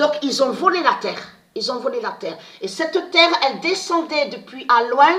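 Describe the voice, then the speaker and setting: A woman's raised, projected voice sits at a high pitch with very wide pitch swings. Her pace is moderate. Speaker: online video monologuist. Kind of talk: casual monologue to viewers. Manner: halting, repetitive.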